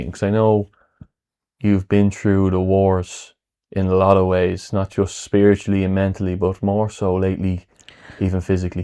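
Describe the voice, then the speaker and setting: At a moderate pace, a man speaks in a very deep, low voice with a dark, mellow tone and monotone, flat intonation. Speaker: podcast host. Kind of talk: interview questions.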